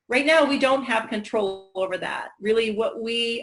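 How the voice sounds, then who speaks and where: This is a woman speaking. Her voice is fairly high. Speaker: school educator. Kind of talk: webinar panel discussion. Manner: hesitant with many fillers.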